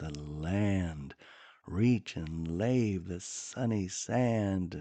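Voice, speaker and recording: A man speaks at a very slow pace in a dark, mellow tone. His pitch varies in an ordinary way. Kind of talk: poetry reading. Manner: soft-spoken, slow, gentle.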